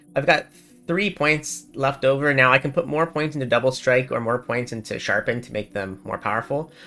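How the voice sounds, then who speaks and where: Music sits in the background as a man speaks, his pitch varying in an ordinary way. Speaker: gaming guide creator. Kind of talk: game tutorial voiceover. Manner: casual, relaxed.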